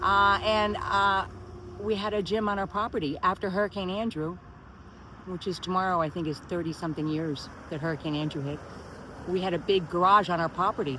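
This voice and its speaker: In a normal speaking voice, this woman moves along fairly quickly. She sits at a medium pitch that varies in an ordinary way. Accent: American. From Miami, Florida. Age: 60s. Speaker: personal trainer and spinning instructor. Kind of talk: casual talk to camera.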